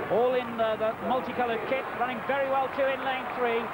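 Moderate pace amid loud background noise. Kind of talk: live sports commentary. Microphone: headset.

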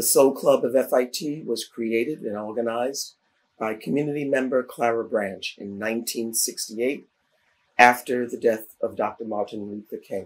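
A man's normal speaking voice, medium in pitch, with fairly even intonation at a moderate pace. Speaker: oral history interviewer, director of educational opportunity programs. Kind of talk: formal program introduction.

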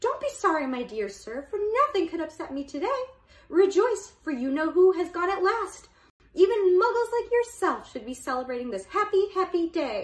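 A squeaky, put-on character voice moves at a moderate pace. Its pitch swings very widely. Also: woman, extremely high pitch for a woman. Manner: gleeful, overjoyed.

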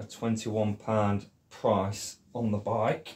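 A man speaks in a dark, mellow tone that is somewhat breathy. Light background noise sits behind him. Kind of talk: tutorial. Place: workshop. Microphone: camera far.

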